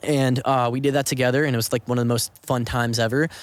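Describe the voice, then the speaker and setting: Someone talks very fast with an American accent. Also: man. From Southern California, Orange County. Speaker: actor and filmmaker. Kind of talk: casual podcast interview. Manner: animated.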